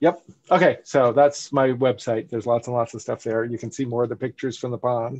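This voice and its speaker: A man with an American accent at a fairly quick pace, fairly even intonation, and a quiet background. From South Florida. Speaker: biology professor and wildlife photographer; guest. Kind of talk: virtual presentation talk. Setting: video call. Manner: halting, many fillers. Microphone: headset.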